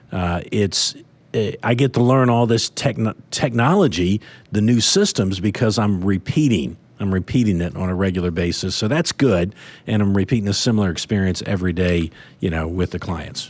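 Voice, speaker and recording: This man's fairly low voice, with ordinary pitch variation, proceeds at a moderate pace. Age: 60s. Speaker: financial planner. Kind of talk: podcast discussion. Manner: halting, many fillers.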